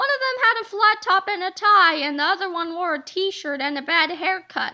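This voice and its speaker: A put-on character voice from a woman, pitched extremely high. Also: moderate pace. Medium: read story.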